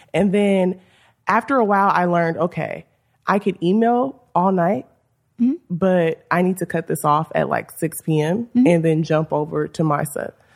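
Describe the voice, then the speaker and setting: A woman's fairly low voice at a moderate pace, with ordinary pitch variation, in a very clean recording with a silent background. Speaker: TV writer. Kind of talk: casual interview chat. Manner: soft-spoken.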